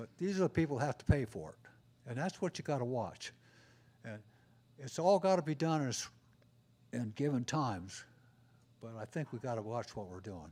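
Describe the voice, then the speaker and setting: In a very clean recording with a silent background, a man with a dark, mellow tone talks at a fairly quick pace with very wide pitch swings and long, frequent pauses. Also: medium pitch for a man. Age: 80s+. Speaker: resident speaking at public comment. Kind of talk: public comment at city meeting. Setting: city commission meeting. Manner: halting, with repetitions.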